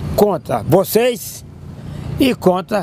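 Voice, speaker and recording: A man talks over noticeable background noise. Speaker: political activist. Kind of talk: interview. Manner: animated.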